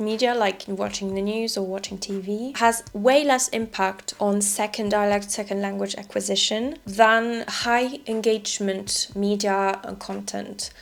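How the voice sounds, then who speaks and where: Over noticeable background noise, a woman at a medium pitch talks at a fairly slow pace with fairly even intonation and hardly any pauses. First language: French. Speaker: French teacher. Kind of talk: casual talk to camera.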